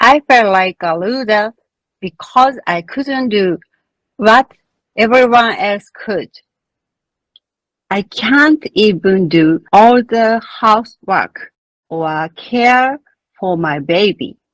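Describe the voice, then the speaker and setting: A woman with a Japanese accent speaks very slowly at a fairly high pitch, with lively intonation, long, frequent pauses, and a dry, close sound with no echo. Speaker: midwife. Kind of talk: conference presentation. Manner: formal.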